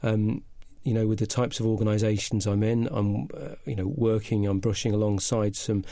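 Speaking at a fairly quick pace, a man with a slight northern English accent has a fairly low pitch and a dark, mellow tone. His intonation is fairly even, and the recording is very clean with a silent background. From northern England. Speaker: business consultant. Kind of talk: casual interview. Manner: halting, hesitant.

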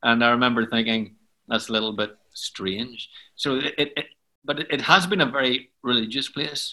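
With a Belfast accent, a man speaks at a moderate pace and medium pitch, his tone bright and sharp and his pitch variation ordinary. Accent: Belfast Northern Irish. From Northern Ireland, Belfast. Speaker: worship leader and songwriter. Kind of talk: interview, storytelling.

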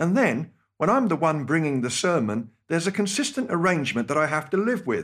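A man with a British accent, fairly high in pitch, with very wide pitch swings and a fairly quick pace, in a very clean recording with a silent background. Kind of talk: scripted radio talk with personal stories.

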